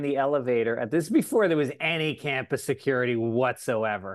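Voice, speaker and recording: A man with an American accent speaks in an unremarkable speaking voice at a moderate pace, with ordinary pitch variation against a quiet background. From New York (Tarrytown). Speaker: comedian and podcast host. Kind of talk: casual chat.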